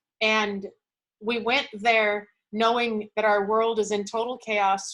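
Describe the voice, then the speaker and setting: A woman's voice at a medium pitch. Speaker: motivational speaker. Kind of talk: motivational talk. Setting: video call. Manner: loud; animated.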